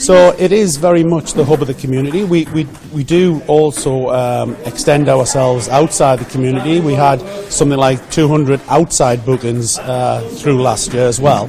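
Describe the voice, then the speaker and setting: Over noticeable background noise, a man keeps a moderate pace. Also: fairly high pitch for a man, ordinary pitch variation. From north-east England (Geordie). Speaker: village hall volunteer. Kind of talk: radio interview. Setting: village hall.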